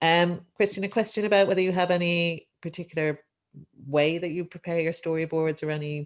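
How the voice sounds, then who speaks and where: A woman with an Irish accent speaks at a fairly quick pace. Her pitch is fairly low and her intonation fairly even. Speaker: economics lecturer, session chair. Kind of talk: panel discussion, webinar. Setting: Zoom webinar live-streamed.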